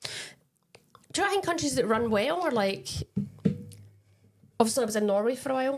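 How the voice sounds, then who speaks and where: A fairly high-pitched woman talks at a very fast pace, yet with long, frequent pauses, her pitch swinging very widely. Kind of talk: casual podcast chat.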